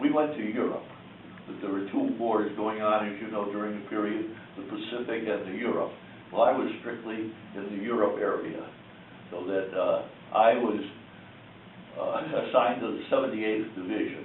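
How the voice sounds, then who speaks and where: Someone with an American accent speaks with long, frequent pauses amid noticeable background noise and audible room echo. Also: man, moderate pace. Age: 90s. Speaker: war veteran. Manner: halting.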